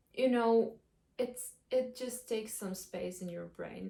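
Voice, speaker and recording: Her voice has a dark, mellow tone as the woman speaks. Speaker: vlogger. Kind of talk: casual vlog monologue. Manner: slow; halting.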